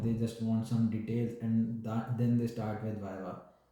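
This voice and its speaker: A man's medium-pitched voice with a dark, mellow tone and audible room echo. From India, New Delhi. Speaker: doctor. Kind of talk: interview. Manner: hesitant with fillers. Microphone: network problem.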